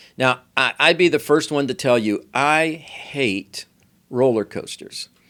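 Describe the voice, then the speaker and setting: A man with an unremarkable speaking voice, lively intonation and medium pitch, at a fairly slow pace, dry and close with no echo. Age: 60s. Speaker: pastor and podcast host. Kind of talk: sermon-style teaching podcast.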